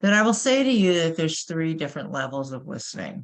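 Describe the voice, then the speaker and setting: Someone speaks with a New York accent at a moderate pace. The background is quiet. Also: woman. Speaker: corporate trainer. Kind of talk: webinar presentation.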